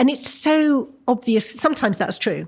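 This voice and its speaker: A woman's somewhat breathy voice in an English accent carries ordinary pitch variation over a very clean recording with a silent background. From England. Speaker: novelist. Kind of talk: interview. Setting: breakfast table interview at a college.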